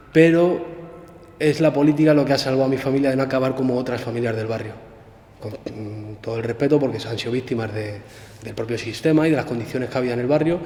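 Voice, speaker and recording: Very fast speech from a man at medium pitch with ordinary pitch variation, over noticeable background noise. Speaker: former prisoner, political activist. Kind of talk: interview. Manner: halting.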